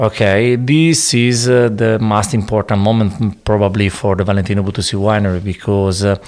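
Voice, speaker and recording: Speaking at a fairly quick pace with an Italian accent, a man keeps his loudness very even, uses ordinary pitch variation, and leaves hardly any pauses. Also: fairly low pitch for a man. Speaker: winemaker. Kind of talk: interview. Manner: halting, hesitant English.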